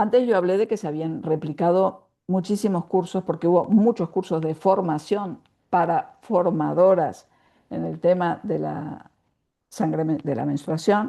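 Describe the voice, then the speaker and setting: Over a quiet background, a woman speaks at a fairly slow pace with a dark, mellow tone and vocal fry. Her pitch is fairly low, with ordinary pitch variation. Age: 70s. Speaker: writer and women's spirituality teacher. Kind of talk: interview.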